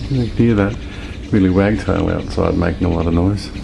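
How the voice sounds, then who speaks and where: Quiet and fairly low-pitched, a man talks at a moderate pace in an Australian accent, with audible room echo and noticeable background noise. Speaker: amateur nature videographer. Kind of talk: casual nature vlog. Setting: outdoors in a horse stable.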